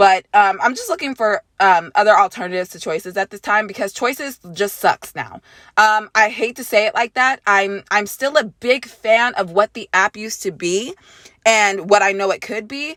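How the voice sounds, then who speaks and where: Her voice is fairly high and bright, sharp in tone, as this woman moves at a moderate pace with ordinary pitch variation and big swings in loudness. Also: dry, close sound with no echo. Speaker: gaming YouTuber. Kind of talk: vlog rant. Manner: hesitant fillers.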